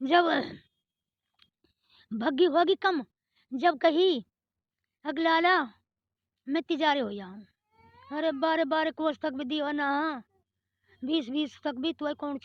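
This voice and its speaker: Long, frequent pauses break up a woman's high-pitched speech. Her loudness shifts in big swings while her pitch varies in an ordinary way. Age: 80s+. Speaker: 1947 partition eyewitness. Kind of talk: interview answer.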